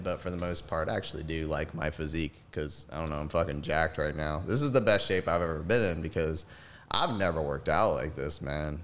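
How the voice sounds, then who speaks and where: A man at a fairly quick pace. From US South. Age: 30s. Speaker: pediatric nurse. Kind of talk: casual chat. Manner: animated.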